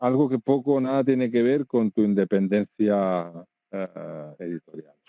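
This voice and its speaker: A man's dark, mellow tone at a fairly slow pace, with lively intonation. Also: medium pitch for a man, dry, close sound with no echo. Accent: Catalan. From Catalonia. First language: Catalan (speaking Spanish). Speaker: video game journalist, website founder. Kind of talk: interview. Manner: hesitant with fillers and repetitions.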